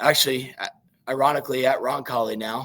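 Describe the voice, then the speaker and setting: Fairly even intonation from a medium-pitched man at a moderate pace. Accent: Midwestern American. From southeastern Indiana. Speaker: high school football coach. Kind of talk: interview. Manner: halting, many fillers.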